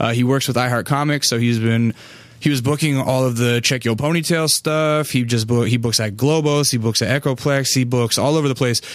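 At a fairly quick pace, a man keeps very even loudness and fairly even intonation. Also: medium pitch for a man. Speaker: podcast host. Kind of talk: casual chat; podcast intro monologue. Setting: studio. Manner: relaxed.

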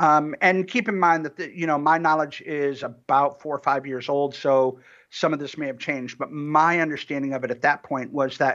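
With fairly even intonation and a fairly high pitch, a man talks in an ordinary speaking voice. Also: quiet background. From US Midwest, Michigan (Ann Arbor area). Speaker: speech pathologist. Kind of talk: casual interview.

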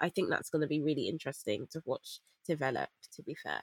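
The sound is dry and close, with no echo. A woman speaks in a bright, sharp tone. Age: 30s. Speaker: author, journalist and TV presenter. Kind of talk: casual interview chat.

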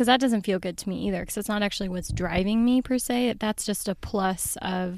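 A woman with an American accent speaks at a medium pitch on a very clean recording with a silent background. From Southern California. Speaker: podcast guest. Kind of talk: casual chat. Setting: outdoors on a deck in the woods, later indoors.

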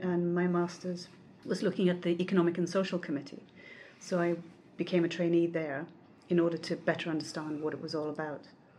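Speaking fairly quickly with an American accent, a woman uses a fairly low, dark, mellow voice in a monotone, flat delivery. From Germany, Wales, Scotland and Florida. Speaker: MEP and former law professor. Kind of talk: interview answers on politics.

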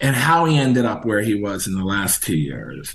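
The recording carries audible room echo. A man talks with an American accent at a fairly low pitch. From Richmond, Virginia. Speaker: author and historian. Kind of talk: interview. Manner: hesitant, many fillers.

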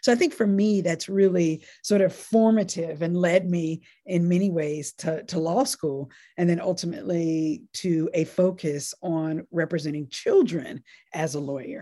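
A woman talks at a fairly slow pace in an American accent, her fairly low voice dark and mellow in tone. Pitch variation is ordinary, and the recording is very clean with a silent background. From US South, North Carolina. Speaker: law professor and author. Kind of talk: interview.

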